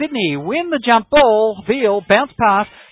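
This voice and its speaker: The speaker is a man with a high pitch. He talks with an Australian accent. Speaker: basketball play-by-play commentator. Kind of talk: live sports commentary.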